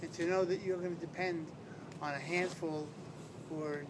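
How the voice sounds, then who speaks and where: A man speaks in a high, monotone voice with flat intonation. The recording has audible room echo and noticeable background noise. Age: 60s. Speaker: retired police detective, stroke patient. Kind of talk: interview testimony. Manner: halting.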